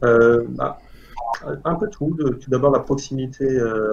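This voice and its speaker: A man speaks at a fairly slow pace in an ordinary speaking voice, with ordinary pitch variation. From Algeria. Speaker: engineering student. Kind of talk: interview.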